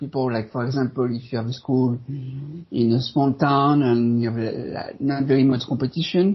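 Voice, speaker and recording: A man speaks with a French accent at medium pitch. His intonation is fairly even and his pace moderate. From France. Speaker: SEO consultant. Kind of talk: podcast interview. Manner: halting.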